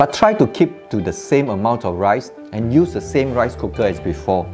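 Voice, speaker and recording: Faint music plays in the background as a man talks at a moderate pace. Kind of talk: tutorial. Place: kitchen. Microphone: lapel.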